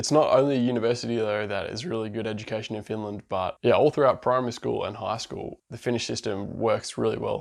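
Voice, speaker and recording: A man speaks with a strong Australian accent. He talks very fast, with hardly any pauses. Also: quiet background. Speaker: vlogger, international student. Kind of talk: casual vlog monologue.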